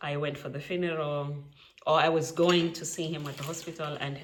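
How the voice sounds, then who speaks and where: Over noticeable background noise and audible room echo, a woman talks very fast in a very deep, low pitch. Her East African accent carries a flat, monotone intonation. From Kenya. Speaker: trainee maternity nurse and vlogger. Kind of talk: casual vlog talk. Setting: at home making lunch.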